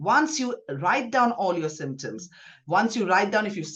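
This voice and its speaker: A woman's medium-pitched voice at a fairly quick pace, with very wide pitch swings. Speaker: gynaecologist. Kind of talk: podcast interview. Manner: fast.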